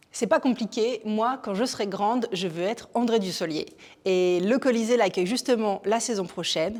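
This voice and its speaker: A woman speaks in an ordinary speaking voice at a fairly high pitch, with ordinary pitch variation and a moderate pace. The recording is very clean, with a silent background. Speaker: theatre programme presenter. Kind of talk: theatre show presentation to camera.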